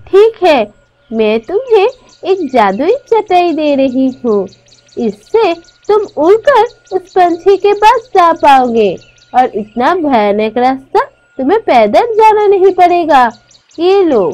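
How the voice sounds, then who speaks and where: In a cartoonish character voice, a woman speaks at an extremely high pitch with very wide pitch swings. Her pace is very slow. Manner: gentle, caring.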